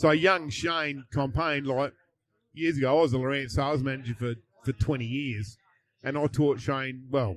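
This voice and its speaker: This voice carries an Australian accent. The pace is moderate. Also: man, medium pitch for a man, ordinary pitch variation, quiet background. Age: 60s. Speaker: fishing tournament champion. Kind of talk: casual chat. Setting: live at a fishing tournament.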